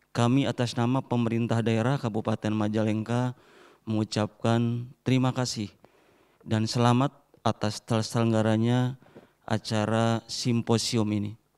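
A man speaks at a fairly slow pace in a monotone, flat intonation. The background is quiet. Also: medium pitch for a man, very even loudness. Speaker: regional deputy regent. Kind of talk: keynote speech. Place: hall. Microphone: handheld.

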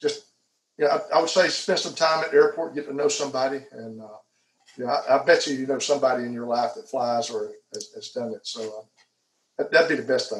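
A man with an Alabama accent, fairly high in pitch, at a fairly quick pace, with ordinary pitch variation and audible room echo. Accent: southern US (Alabama). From Alabama, Headland. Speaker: airport manager. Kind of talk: interview. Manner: hesitant, many fillers. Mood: friendly, relaxed. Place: home room. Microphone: video call.

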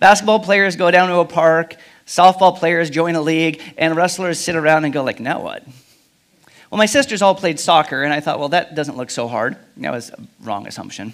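The speech moves at a fairly quick pace with big swings in loudness. The background is quiet. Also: man. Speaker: pastor. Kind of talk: sermon. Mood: humorous personal anecdote. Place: church. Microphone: headset.

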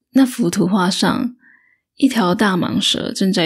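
In a calm tone and with a Taiwanese accent, a woman talks at a fairly slow pace and medium pitch with vocal fry, on a very clean recording with a silent background. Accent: Taiwanese Mandarin. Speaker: audiobook narrator. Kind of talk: audiobook reading, bedtime story. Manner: slow, calm.

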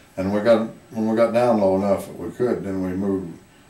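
A man talks at a moderate pace with a rural Southwestern US accent and fairly even intonation. Light background noise and audible room echo are present. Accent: US Southwest rural. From Arizona. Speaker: retired miner and former rancher; interviewee. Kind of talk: oral history interview. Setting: museum. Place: hall.

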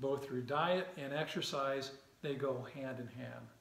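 With audible room echo around him, a man speaks at a fairly slow pace with fairly even intonation. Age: 60s. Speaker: fitness video host. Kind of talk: casual talk to camera. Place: home room. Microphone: camera far.

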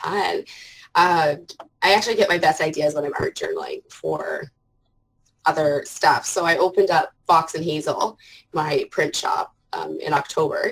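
Speaking at a moderate pace with a Canadian accent, a woman leaves long, frequent pauses. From Canada. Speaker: art journaler and parent; interview guest. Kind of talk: casual interview chat. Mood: warm, reflective. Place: home room. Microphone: earbuds.

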